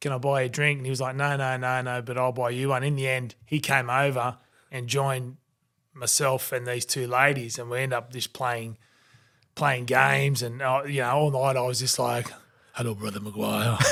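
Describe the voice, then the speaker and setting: A man of medium pitch talks in a flat monotone with an Australian accent and a bright, sharp tone. His pace is moderate, and the recording is very clean with a silent background. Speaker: former rugby league player. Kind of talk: casual chat.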